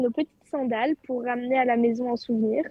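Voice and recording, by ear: A woman's voice with a slightly husky edge comes through dry and close, with no echo.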